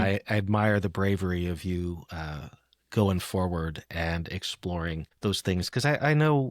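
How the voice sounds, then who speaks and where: A man with a normal speaking voice, fairly low pitch and fairly slow pace, on a very clean recording with a silent background. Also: dry, close sound with no echo. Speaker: poetry podcast host. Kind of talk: casual conversation.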